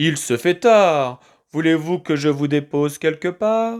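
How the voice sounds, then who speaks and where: Using a put-on character voice, a man talks at a fairly slow pace with lively intonation and very even loudness. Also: fairly high pitch for a man. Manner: friendly, offering a ride.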